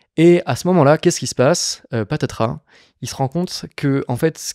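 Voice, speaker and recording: Against a quiet background, a man with a dark, mellow tone speaks at a fairly quick pace with ordinary pitch variation, the sound dry with no echo. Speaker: podcast host; podcast guest or host. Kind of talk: casual chat. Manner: animated. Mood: calm, reflective. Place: studio. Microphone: studio mic.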